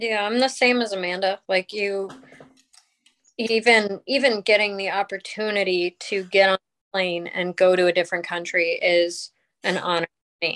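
In an American accent, a woman with a plain, everyday voice speaks at a moderate pace in a medium pitch, with fairly even intonation and a dry, close sound with no echo. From Colorado. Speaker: ice hockey referee. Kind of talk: casual interview.

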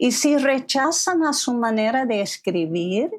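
A woman's fairly high voice in an English accent, very slow, with very wide pitch swings. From US, Philadelphia area. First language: English (speaking Spanish). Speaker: literary translator and writer. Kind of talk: interview conversation.

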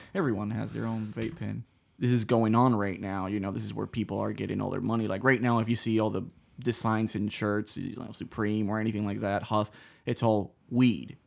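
Relaxed and fairly quick, a man with a fairly low pitch keeps a fairly even intonation in a very clean recording with a silent background. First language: Spanish. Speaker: comedian. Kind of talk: casual chat. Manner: relaxed, joking.

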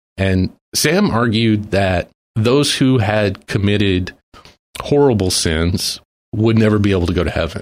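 A man with a normal speaking voice talks at a fairly slow pace with a fairly low pitch, ordinary pitch variation and very even loudness, on a very clean recording with a silent background. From Texas. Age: 40s. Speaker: guest sharing faith testimony. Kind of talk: testimony. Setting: studio.

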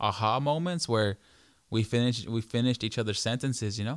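Over a silent background in a very clean recording, a man talks at a fairly quick pace, his medium pitch showing ordinary variation. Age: 20s. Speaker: podcast co-host. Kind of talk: casual chat. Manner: animated.

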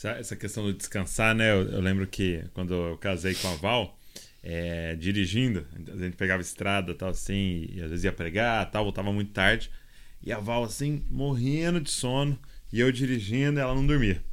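An ordinary speaking voice, fairly low for a man, moves at a moderate pace. His intonation is lively. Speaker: podcast host. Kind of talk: podcast interview. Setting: recording away in Kansas City.

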